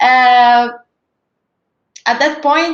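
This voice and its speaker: A woman speaks with an Italian accent. Her pitch is high. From Italy, Veneto (between Verona and Venice). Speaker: cryptographer. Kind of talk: career talk presentation.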